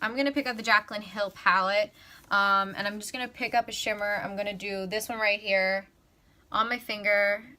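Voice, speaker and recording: Recorded very cleanly against a silent background, a woman speaks at medium pitch with fairly even intonation and a bright, sharp tone. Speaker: beauty vlogger. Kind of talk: tutorial. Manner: fast; casual, filler-heavy.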